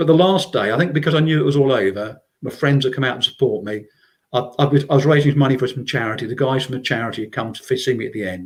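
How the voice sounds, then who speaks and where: Speaking with an English accent, a man goes at a very fast pace. His medium-pitched voice is somewhat breathy, with ordinary pitch variation. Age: 60s. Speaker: trail runner. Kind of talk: casual interview chat. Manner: halting, many repeated words.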